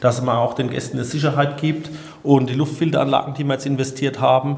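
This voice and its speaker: In a room with audible echo and noticeable background noise, a man speaks fairly quickly at a fairly high pitch in a monotone, flat delivery. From southern Hesse, Odenwald. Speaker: innkeeper and chef. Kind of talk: interview.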